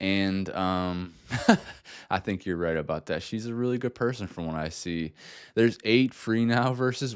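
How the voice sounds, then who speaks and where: Against a quiet background, a man talks in a very deep, low voice. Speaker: music reaction youtuber. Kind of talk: casual reaction commentary. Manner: fast; rambling.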